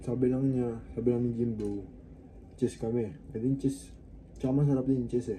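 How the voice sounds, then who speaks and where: With a dark, mellow, somewhat breathy tone, a man talks at a moderate pace with fairly even intonation and long, frequent pauses. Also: medium pitch for a man. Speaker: fitness vlogger. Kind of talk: casual vlog.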